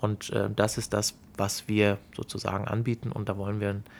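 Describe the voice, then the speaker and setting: A man speaks at a fairly low pitch with vocal fry. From Germany, Sauerland (from Iran at age 8). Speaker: bank executive. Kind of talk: interview. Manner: hesitant with frequent fillers.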